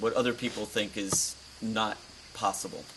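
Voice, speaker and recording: A man with a medium pitch speaks over noticeable background noise. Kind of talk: interview answer.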